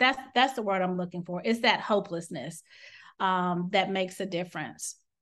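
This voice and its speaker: This is a woman with an ordinary speaking voice at a medium pitch and moderate pace. Her intonation is lively, and the background is quiet. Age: 40s. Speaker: physician and burnout consultant. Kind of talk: interview.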